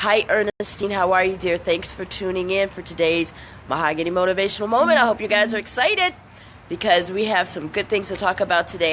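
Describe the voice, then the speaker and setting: Amid noticeable background noise, a woman speaks fairly quickly in an animated tone. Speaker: motivational speaker. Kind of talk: live-stream motivational talk. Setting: outdoors under a shed, live video.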